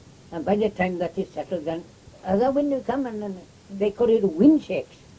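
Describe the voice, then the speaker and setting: A man with a rural Welsh accent speaks at a fairly quick pace. His pitch is high, and his intonation is lively. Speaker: oral history interviewee. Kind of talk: oral history interview. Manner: halting, many fillers and repeats.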